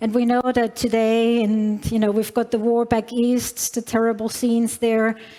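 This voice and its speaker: A woman's fairly high, monotone, flat voice at a moderate pace, with noticeable background noise. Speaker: tech company executive. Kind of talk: conference keynote. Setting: stage with large audience. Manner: hesitant, many fillers.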